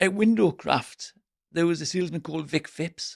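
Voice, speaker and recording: Heard in a dry, close sound with no echo, a man with an English accent speaks at a high pitch and a moderate pace. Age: 60s. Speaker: window sales trainer. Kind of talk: podcast interview.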